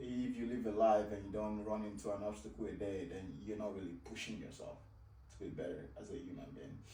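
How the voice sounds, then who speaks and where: With a Nigerian accent, a man speaks at a fairly quick pace amid audible room echo. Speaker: fitness and life coach. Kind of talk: coaching conversation.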